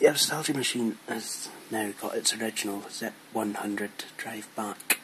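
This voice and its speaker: A quiet man with a Scottish accent, medium pitch, fairly even intonation, big swings in loudness, a moderate pace, and noticeable background noise. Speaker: tech YouTuber. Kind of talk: casual tutorial vlog. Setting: bedroom at home. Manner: very quiet, hushed; hesitant, many fillers.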